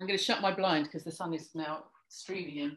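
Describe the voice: Fairly quick and fairly bright, the voice carries a slightly husky edge and fairly even intonation. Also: woman, low pitch for a woman.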